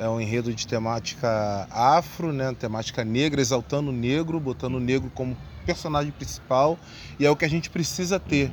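This man has an unremarkable speaking voice at a medium pitch. He talks at a fairly quick pace with ordinary pitch variation. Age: 30s. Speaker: samba composer and carnival art director. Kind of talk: casual interview.

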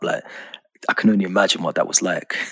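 The sound is dry and close, with no echo. A man talks at a very fast pace. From Birmingham, England. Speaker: podcast host. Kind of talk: casual interview chat.

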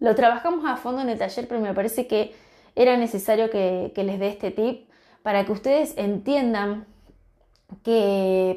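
A woman's dark, mellow, warm voice, fairly high in pitch, with a Rioplatense accent and ordinary pitch variation. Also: very clean recording, silent background. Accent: Argentine Rioplatense Spanish. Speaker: natural cosmetics business founder and podcast host. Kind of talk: informal solo podcast advice talk. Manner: warm, encouraging.

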